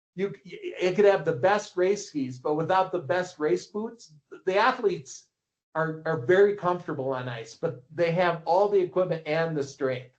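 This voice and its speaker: A man with an American accent in an ordinary speaking voice. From Minnesota, US. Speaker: ski coach and publisher. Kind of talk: casual interview.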